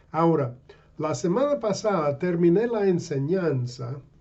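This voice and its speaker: Speaking at a fairly slow pace, a man with a non-native accent uses a high pitch. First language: English (speaking Spanish). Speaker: pastor and missionary. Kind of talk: sermon. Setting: online video. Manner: halting.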